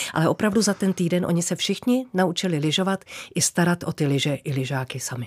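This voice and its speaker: A woman talks very fast in a fairly low voice with lively intonation. The recording is very clean and silent in the background, with a dry, close sound and no echo. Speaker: former TV announcer and presenter. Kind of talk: casual interview.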